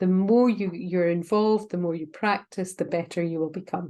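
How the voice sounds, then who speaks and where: A woman's dark, mellow voice of medium pitch in a Scottish accent, at a moderate pace against a quiet background. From Scotland. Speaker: university lecturer. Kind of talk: informational talk to prospective students. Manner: hesitant, many fillers.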